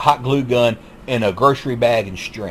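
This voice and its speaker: A man's medium-pitched voice with a Southern US accent, ordinary pitch variation and a moderate pace, over noticeable background noise. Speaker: YouTube commentator. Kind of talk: monologue commentary. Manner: halting, repetitive.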